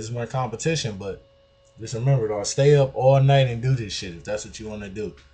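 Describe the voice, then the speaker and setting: A man talks at a very fast pace in a dark, mellow tone. His voice is somewhat breathy, with ordinary pitch variation. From US Midwest, Detroit. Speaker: music producer. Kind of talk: tutorial. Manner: casual, street slang, not polished.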